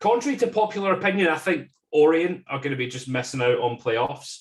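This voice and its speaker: Lively intonation marks this man's Scottish accent. He speaks at a moderate pace in a fairly high pitch. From Scotland. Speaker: football fan podcast guest. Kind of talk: casual chat.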